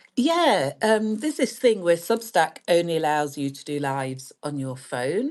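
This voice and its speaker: Speaking at a fairly slow pace with hardly any pauses, a woman with a British accent has a fairly low pitch and very wide pitch swings. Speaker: astrologer and podcast host. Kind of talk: casual chat.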